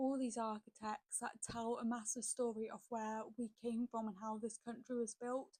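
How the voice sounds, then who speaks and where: Someone with a British accent speaks at a fairly slow pace in a monotone, flat intonation. The sound is dry and close, with no echo. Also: woman. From UK. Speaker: reaction video creator. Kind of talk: casual commentary.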